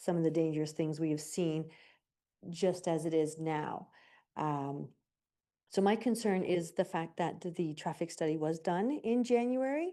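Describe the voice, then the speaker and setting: At a fairly slow pace, a woman with a Canadian accent speaks at a fairly low pitch with a dark, mellow tone and ordinary pitch variation against a quiet background. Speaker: resident delegate at council meeting. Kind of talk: public delegation statement. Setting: council chamber with gallery. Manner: loud.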